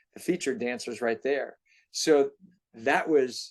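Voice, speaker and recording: The man's pitch is fairly high, and his pace is moderate. The background is quiet. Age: 60s. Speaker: theme park performer. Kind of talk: interview. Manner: animated.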